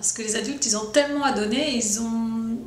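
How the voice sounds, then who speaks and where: Woman at a fairly high pitch and moderate pace with fairly even intonation, amid audible room echo and noticeable background noise. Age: 50s. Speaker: drama teacher. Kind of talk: promotional interview.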